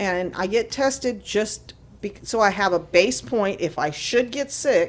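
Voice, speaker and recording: A woman speaks in a plain, everyday voice at a medium pitch, her intonation lively. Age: 60s. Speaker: cannabis advocacy group representative. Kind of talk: casual chat. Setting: studio.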